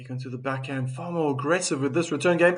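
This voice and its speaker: A man with a South African accent. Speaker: tennis commentator. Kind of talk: live commentary. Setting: live stream. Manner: animated.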